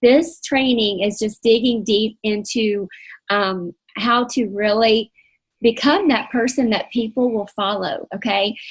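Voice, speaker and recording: A woman's fairly high, somewhat breathy voice at a fairly slow pace, with ordinary pitch variation. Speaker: faith-based coaching leader. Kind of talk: online coaching training session. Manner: partly reading aloud.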